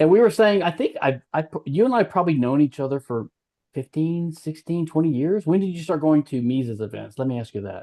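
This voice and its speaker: Lively intonation from a man with a fairly high pitch and a dark, mellow tone, at a fairly quick pace, with a dry, close sound and no echo. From Louisiana. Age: 60s. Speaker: podcast host, libertarian theorist. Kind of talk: casual conversation / interview. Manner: halting, many fillers and restarts.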